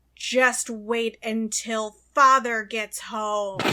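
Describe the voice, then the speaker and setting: In a put-on character voice, a woman bellows loudly and boomingly at a fairly high pitch. She speaks at a very slow pace with monotone, flat intonation. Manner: bellowing.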